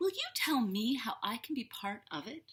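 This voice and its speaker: Using a put-on character voice, a woman talks at a high pitch and a moderate pace. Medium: read story.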